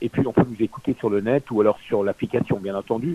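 The recording is dry and close, without echo. In it, a man talks at moderate speed. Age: 60s. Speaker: former radio host and radio consultant. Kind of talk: interview. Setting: on air, radio. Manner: halting.

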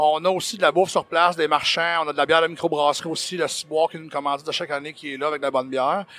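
A man's very fast, fairly high voice, bright and sharp in tone, flat and monotone, with hardly any pauses and big swings in loudness. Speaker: event organizer. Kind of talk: interview. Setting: convention floor.

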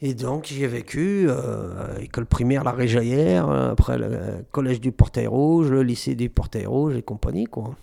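A man with a dark, mellow tone talks at a fairly slow pace with lively intonation. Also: medium pitch for a man. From Saint-Étienne, France. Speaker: rapper. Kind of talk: radio interview.

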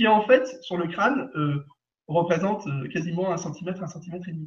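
Here a man talks at a fairly quick pace with a high pitch. His intonation is lively. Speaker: energy healer. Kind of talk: guided session. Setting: live video stream. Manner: cheerful, laughing often.

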